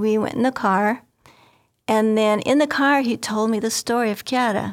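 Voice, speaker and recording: A woman with an American accent uses a normal speaking voice, fairly high in pitch and fairly even in intonation, at a moderate pace on a very clean recording with a silent background. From northwest Indiana, US Midwest. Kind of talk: interview storytelling.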